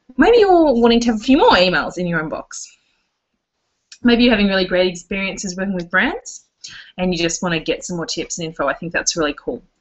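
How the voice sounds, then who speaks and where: A woman speaks very fast at a medium pitch. Her intonation is lively. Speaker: blogging coach. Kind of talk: live webinar presentation.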